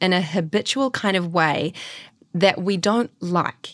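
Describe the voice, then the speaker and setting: A woman's normal speaking voice at a medium pitch and a fairly slow pace. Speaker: podcast co-host and actor. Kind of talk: casual chat. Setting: video call.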